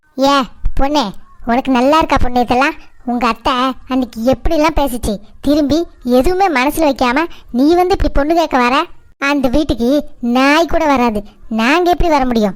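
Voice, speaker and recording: A woman does a cartoonish character voice, high-pitched with ordinary pitch variation, very even loudness and a moderate pace. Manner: loud, rambling.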